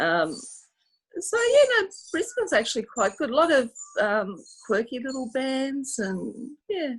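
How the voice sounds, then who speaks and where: With an Australian accent, a woman speaks at a high pitch and a fairly slow pace. Her pitch swings very widely, and she leaves long, frequent pauses. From Australia, Sydney. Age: 60s. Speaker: music fan guest. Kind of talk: casual interview chat.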